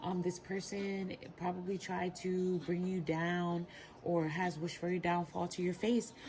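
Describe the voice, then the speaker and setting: Soft-spoken and fairly low-pitched, a woman talks fairly slowly in a flat monotone. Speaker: tarot reader. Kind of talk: tarot reading.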